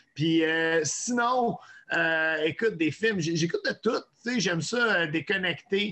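Speaking very slowly, a man keeps his loudness very even and his pitch variation ordinary. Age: 40s. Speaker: chef and online cooking personality. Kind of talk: casual chat.

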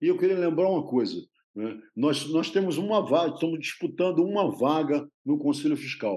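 This man's dark, mellow tone carries lively intonation. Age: 70s. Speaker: retired systems analyst and union candidate. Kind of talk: interview.

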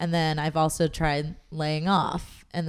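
A woman with an American accent speaks at a moderate pace in a very deep, low voice with monotone, flat intonation, on a very clean recording with a silent background. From Southern California, Long Beach. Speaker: fitness and nutrition coach. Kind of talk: casual interview chat.

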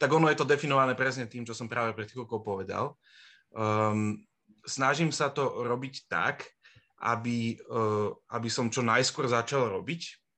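A man's bright, sharp voice at medium pitch, with fairly even intonation and a fairly slow pace, against a quiet background. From Bratislava, Slovakia. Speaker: former student, project manager. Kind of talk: casual interview. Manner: halting, many fillers.

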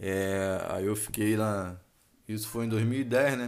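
This is a normal speaking voice from a man, fairly low in pitch. His pitch varies in an ordinary way. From Rio de Janeiro, Brazil. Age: 20s. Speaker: marine sergeant and podcast host. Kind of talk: casual monologue. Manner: casual, slangy.

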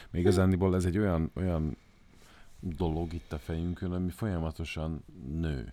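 Dark and mellow in tone, a man talks with fairly even intonation on a very clean recording with a silent background. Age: 40s. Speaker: podcast co-host. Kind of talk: casual chat. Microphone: professional microphone.

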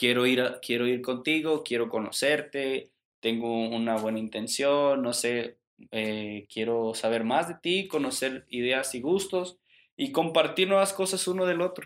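Lively intonation marks a man's unremarkable speaking voice at medium pitch. He speaks at a fairly slow pace in a very clean recording with a silent background. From Mexico. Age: 20s. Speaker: podcast guest. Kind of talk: casual chat.

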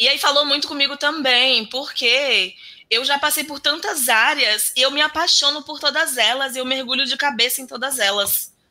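A woman's high, raised and projected voice at a moderate pace, with ordinary pitch variation. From Bahia, Brazil (interior, Alagoinhas). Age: 30s. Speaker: software developer and programming teacher. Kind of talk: interview.

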